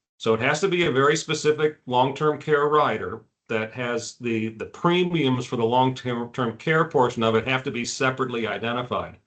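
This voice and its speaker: With an unremarkable speaking voice, a man at a medium pitch talks at a moderate pace with hardly any pauses. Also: ordinary pitch variation. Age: 60s. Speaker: executive benefits insurance specialist. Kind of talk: webinar presentation. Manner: casual, with frequent fillers.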